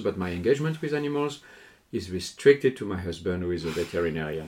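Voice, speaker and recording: A man with a French accent at a very fast pace, very wide pitch swings, in a very clean recording with a silent background. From southern France, Lourdes. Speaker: hotel sales and marketing executive and lecturer. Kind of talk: interview.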